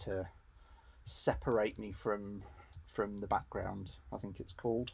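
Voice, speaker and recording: A man's fairly low, somewhat breathy voice in an English accent at a moderate pace. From England. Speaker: RC hobby YouTuber. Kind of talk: live stream workshop chat. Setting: home garage. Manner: casual, hesitant with fillers.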